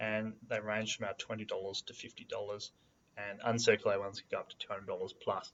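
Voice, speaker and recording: The speaker is a man with an Australian accent. He talks at a fairly quick pace. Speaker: coin investing video host. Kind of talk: tutorial. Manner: casual, hesitant with many fillers.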